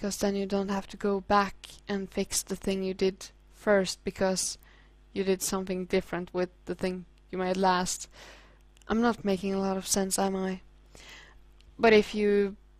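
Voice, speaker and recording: A woman with a Norwegian accent, flat and monotone in intonation, at a moderate pace. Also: very clean recording, silent background. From Norway. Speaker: hobby artist. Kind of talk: casual tutorial commentary. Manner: halting.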